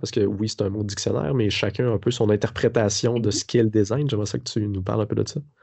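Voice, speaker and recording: With a Quebec accent, a man talks at medium pitch. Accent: Québécois French. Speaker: podcast host, design teacher. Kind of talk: podcast interview.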